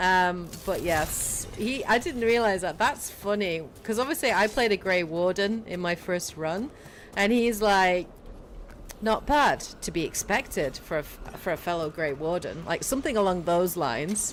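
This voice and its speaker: A woman speaks with a British accent at a moderate pace. Her medium-pitched voice has lively intonation. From Britain. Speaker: gaming streamer. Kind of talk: casual live stream commentary. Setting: livestream.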